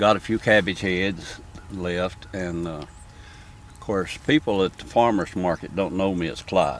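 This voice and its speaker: With a Southern US accent, the speaker talks at a fairly slow pace, with ordinary pitch variation and big swings in loudness. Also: man, very deep, low pitch for a man. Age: 70s. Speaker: farmer. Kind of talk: casual interview. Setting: outdoors in a turnip patch.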